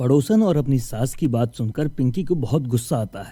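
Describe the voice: The voice has a dark, mellow tone and lively intonation. It moves at a moderate pace. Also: man, medium pitch for a man.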